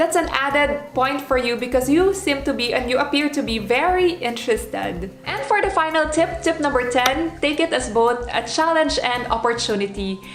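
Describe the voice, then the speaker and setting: The speaker has a non-native accent and lively intonation. Music plays in the background, and audible room echo is present. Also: woman, high pitch for a woman, moderate pace, hardly any pauses. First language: not English. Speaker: former flight attendant, vlogger. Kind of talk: advice vlog.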